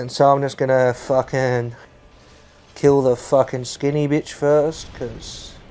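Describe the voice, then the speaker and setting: A dark, mellow tone at a very slow pace with monotone, flat intonation. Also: man, medium pitch for a man. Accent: Australian. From Australia. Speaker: gaming YouTuber. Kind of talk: gameplay commentary. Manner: rambling, hesitant with fillers.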